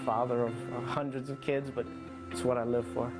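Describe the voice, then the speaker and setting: A man speaks with an American accent and a fairly even intonation. Music plays in the background. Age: 40s. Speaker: police detective. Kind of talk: documentary narration about his outreach.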